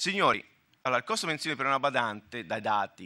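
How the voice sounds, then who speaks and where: Against a quiet background, a man talks at a fairly quick pace in a bright, sharp tone. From Tuscany, Italy. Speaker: health fund manager / conference speaker; conference panelist. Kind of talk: conference talk. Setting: conference hall with audience. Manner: halting, with self-corrections. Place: hall. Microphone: podium.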